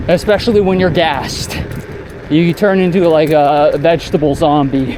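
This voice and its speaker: Noticeable background noise is present. The talking keeps a moderate pace. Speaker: cycling vlogger. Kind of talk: casual monologue while riding. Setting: outdoors on a bike. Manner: halting, stuttering at times.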